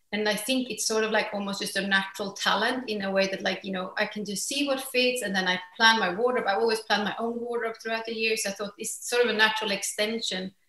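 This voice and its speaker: With a Swedish accent, a woman speaks at a very fast pace and a fairly high pitch, her intonation fairly even and hardly any pauses, amid audible room echo. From Sweden. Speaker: fashion entrepreneur. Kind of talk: interview. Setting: remote call. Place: home room. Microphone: video call.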